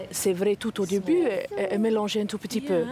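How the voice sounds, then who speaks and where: At a moderate pace, a woman with an English accent speaks over noticeable background noise. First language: English (speaking French). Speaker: parent. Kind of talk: interview testimony. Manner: halting.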